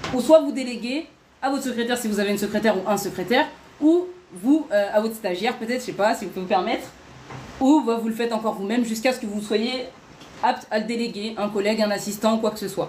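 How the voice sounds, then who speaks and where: Speaking at a fairly quick pace with long, frequent pauses, a woman with a fairly high pitch shows ordinary pitch variation over noticeable background noise. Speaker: online workshop host. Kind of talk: live stream workshop. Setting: live stream. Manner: fast.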